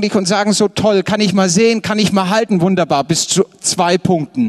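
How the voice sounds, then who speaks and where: The man's pitch is high, and his tone is animated. He keeps a moderate pace. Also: dry, close sound with no echo. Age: 30s. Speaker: pastor. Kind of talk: sermon.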